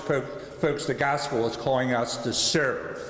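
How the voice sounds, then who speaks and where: A man speaks with an American accent. The room echo is audible, and there is noticeable background noise. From US Northeast, Philadelphia. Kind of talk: lecture.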